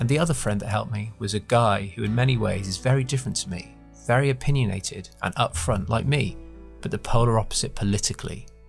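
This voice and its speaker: A man at a fairly low pitch, very fast, with ordinary pitch variation and music in the background. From British. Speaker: podcast host. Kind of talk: first-person story narration.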